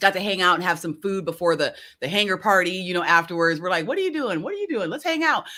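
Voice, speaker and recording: On a very clean recording with a silent background, a woman at a medium pitch speaks at a very fast pace, her tone animated, bright and sharp, with lively intonation. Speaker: business consultant and live show host. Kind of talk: live stream talk. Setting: live video stream.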